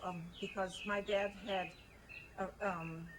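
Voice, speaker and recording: Over noticeable background noise, a woman at a medium pitch speaks with monotone, flat intonation. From Hungary (German-speaking village). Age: 70s. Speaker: elderly woman revisiting childhood home. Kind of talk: casual chat, guided home tour. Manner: halting.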